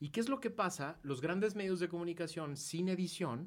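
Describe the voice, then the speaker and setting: A man talks at a fairly slow pace with a high pitch. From Mexico. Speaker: political activist and commentator. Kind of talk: casual chat. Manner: animated.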